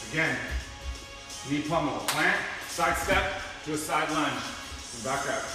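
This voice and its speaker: A man speaks at a moderate pace amid strong room echo, with clear music in the background. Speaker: workout instructor. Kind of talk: tutorial. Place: gym.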